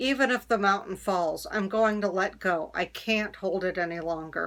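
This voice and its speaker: Putting on a growling character voice, a woman speaks at medium pitch and a moderate pace with ordinary pitch variation. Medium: read story.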